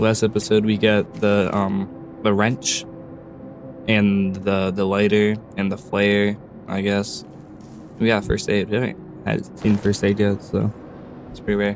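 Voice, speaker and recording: A man's fairly low voice at a fairly slow pace, with ordinary pitch variation, long, frequent pauses and music in the background. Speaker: let's play gamer. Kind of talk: casual gameplay commentary.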